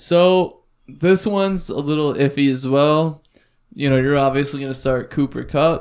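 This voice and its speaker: Using a normal speaking voice with an American accent, a man talks at a moderate pace with a fairly high pitch and ordinary pitch variation. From United States. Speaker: fantasy football podcast host. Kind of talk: casual chat.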